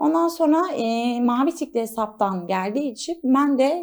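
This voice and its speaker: On a very clean recording with a silent background, a woman's voice shows very wide pitch swings. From Istanbul, Turkey. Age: 20s. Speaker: model and stylist. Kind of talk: studio interview. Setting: studio.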